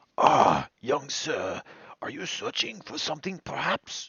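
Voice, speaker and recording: A man puts on a character voice with a fairly high pitch and talks at a fairly slow pace. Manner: polite, inquiring.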